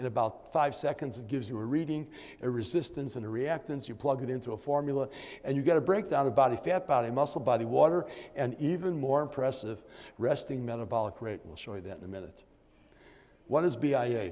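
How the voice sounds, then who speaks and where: At a very fast pace, a voice with a dark, mellow tone and ordinary pitch variation swings widely in loudness amid audible room echo. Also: man, medium pitch for a man. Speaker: doctor giving conference lecture. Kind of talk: lecture. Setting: conference room with audience. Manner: halting, many fillers.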